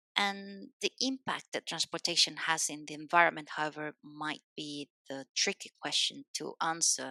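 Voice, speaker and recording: A woman with a Spanish accent speaks at a fairly low pitch with a bright, sharp tone. The sound is dry and close with no echo, on a very clean recording with a silent background. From Spain. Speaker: civil engineer. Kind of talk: podcast interview.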